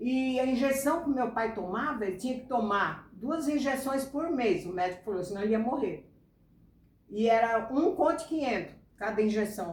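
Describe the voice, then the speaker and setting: The room echo is audible as a woman speaks at a moderate pace. Her pitch is high and her intonation lively. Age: 70s. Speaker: creator's mother telling life story. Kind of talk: personal storytelling.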